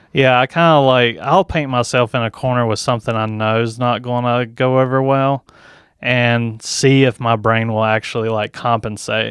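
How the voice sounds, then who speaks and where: A man with a Southern accent, medium pitch and fairly even intonation, moderate pace, dry close sound with no echo, quiet background. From Tennessee. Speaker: comedian. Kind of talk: casual chat. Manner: monotone.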